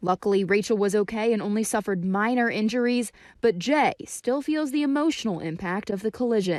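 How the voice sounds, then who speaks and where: A woman talks in a normal speaking voice, fairly high in pitch, with lively intonation. She goes at a fairly quick pace with hardly any pauses. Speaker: TV news reporter. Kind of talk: TV news report narration.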